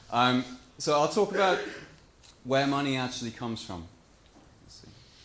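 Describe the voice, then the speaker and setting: This man has a medium pitch and lively intonation, talking at a moderate pace. His loudness swings widely, and the room echo is audible. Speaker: conference speaker on monetary reform. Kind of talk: conference talk.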